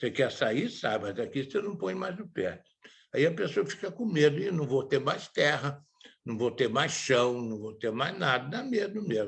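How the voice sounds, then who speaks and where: At a fairly high pitch, a man speaks at a moderate pace in a somewhat breathy voice with very wide pitch swings. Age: 80s+. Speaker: theatre director. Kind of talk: talk / interview.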